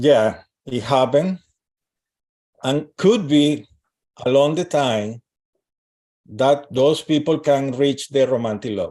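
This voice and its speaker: A man with a dark, mellow tone and fairly high pitch speaks at a very slow pace, with ordinary pitch variation and long, frequent pauses. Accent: non-native. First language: not English. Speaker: astrologer and relationship coach. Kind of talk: live stream interview. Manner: halting.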